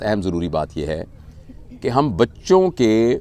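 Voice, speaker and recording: Very wide swings in pitch from a man, his voice sitting at a medium level. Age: 60s. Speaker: motivational speaker. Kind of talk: interview talk.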